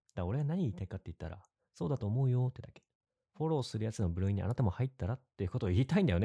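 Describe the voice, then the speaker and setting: Speaking at a very fast pace, a man with a medium pitch sounds somewhat breathy, with big swings in loudness and a dry, close sound with no echo, in a very clean recording with a silent background. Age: 30s. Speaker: podcast co-host. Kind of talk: casual chat.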